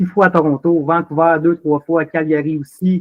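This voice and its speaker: This man's voice sits fairly high in pitch. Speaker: drinks company operations manager. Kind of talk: casual interview. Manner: animated.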